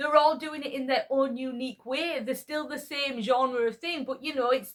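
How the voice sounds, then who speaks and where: A woman with a high pitch and a Yorkshire accent. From Yorkshire, northern England. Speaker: YouTuber. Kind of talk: casual monologue vlog. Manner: conversational, with hesitations.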